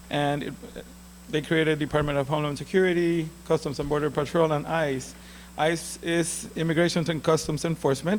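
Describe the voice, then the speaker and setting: A man with a Puerto Rican accent speaks fairly quickly at a fairly high pitch, keeping his intonation fairly even. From Puerto Rico. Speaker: immigration lawyer. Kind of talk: lecture. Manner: halting.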